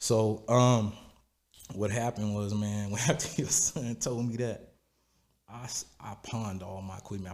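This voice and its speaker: A man at fairly low pitch and moderate pace, with fairly even intonation, on a very clean recording with a silent background. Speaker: songwriter and producer. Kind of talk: casual interview.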